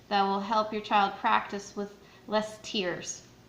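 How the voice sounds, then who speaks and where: A woman speaks in a fairly high, flat monotone, with audible room echo. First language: not Arabic. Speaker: Quran teacher for children. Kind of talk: tutorial. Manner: hesitant with fillers.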